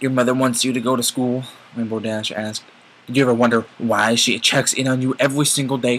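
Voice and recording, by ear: The clip captures reading aloud in a natural voice.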